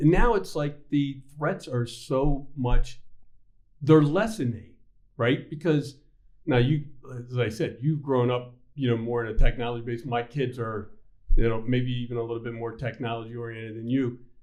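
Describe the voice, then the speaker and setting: This man has an unremarkable speaking voice with a medium pitch. He speaks at a moderate pace with ordinary pitch variation. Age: 60s. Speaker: bank CEO and podcast host. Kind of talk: casual interview chat.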